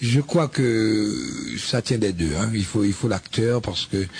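Over noticeable background noise, a man talks very slowly in a fairly low pitch. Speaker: radio host. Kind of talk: interview.

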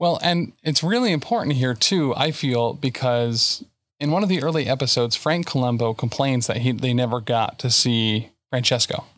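A man with a plain, everyday voice at medium pitch, moderate pace, ordinary pitch variation, hardly any pauses and very even loudness, on a very clean recording with a silent background. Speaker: podcast host. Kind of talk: casual chat.

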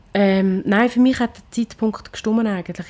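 At a moderate pace, a woman speaks at medium pitch with fairly even intonation and a dark, mellow tone. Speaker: restaurant manager and cook. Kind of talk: casual chat.

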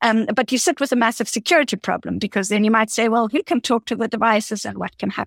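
A woman with a fairly high pitch and vocal fry at a very fast pace, hardly any pauses, in a dry, close sound with no echo and a very clean recording with a silent background. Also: ordinary pitch variation. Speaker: AI researcher. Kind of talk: interview conversation.

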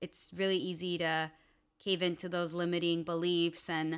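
Recorded very cleanly against a silent background, a woman speaks at a fairly slow pace. Her fairly low voice has a bright, sharp tone. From California, US (Los Angeles area). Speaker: acro yoga teacher. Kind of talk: casual chat.

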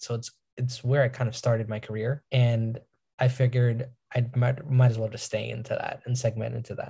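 The voice is somewhat breathy with a dark, mellow tone, moving at a fairly quick pace. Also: man. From New York. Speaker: cybersecurity professional. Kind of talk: interview.

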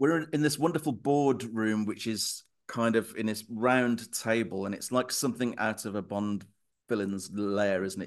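A man talks at a moderate pace in an ordinary speaking voice. His pitch variation is ordinary, and the background is quiet. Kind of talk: casual chat.

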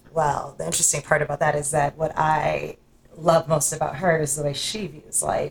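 A woman with vocal fry speaks at a moderate pace in a very deep, low pitch with monotone, flat intonation. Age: 40s. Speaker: podcast host. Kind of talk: casual chat.

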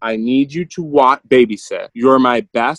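A man with an American accent talks in a normal speaking voice, fairly high in pitch at a moderate pace, with a dry, close sound and no echo. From Michigan, US Midwest. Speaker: entrepreneur. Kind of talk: interview. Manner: casual, with many fillers.

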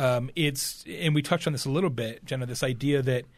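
Captured on a very clean recording with a silent background, a man uses an unremarkable speaking voice at medium pitch with ordinary pitch variation. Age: 50s. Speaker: keynote speaker and marketing author. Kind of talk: podcast interview.

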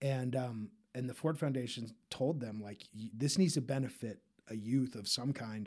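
This man has a normal speaking voice, a medium pitch and an American accent. He talks at a moderate pace with ordinary pitch variation. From Utah (Park City). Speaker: artist and activist. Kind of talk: interview conversation.

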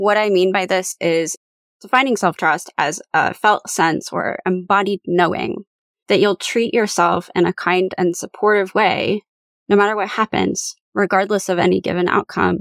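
A woman's vocal fry at a moderate pace, with fairly even intonation and very even loudness. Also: medium pitch for a woman, dry, close sound with no echo. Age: 30s. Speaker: podcast host and professional coach. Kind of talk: solo podcast monologue. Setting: home recording closet.

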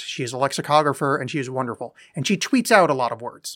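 Here a man talks at a fairly quick pace. His tone is bright and sharp, his pitch fairly high with ordinary variation. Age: 40s. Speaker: podcast co-host. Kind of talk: casual chat.

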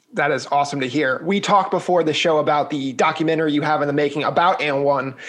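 Delivered at a very fast pace with fairly even intonation, the speech sits over noticeable background noise. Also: man, fairly high pitch for a man. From New York City. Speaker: podcast host. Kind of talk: casual interview.

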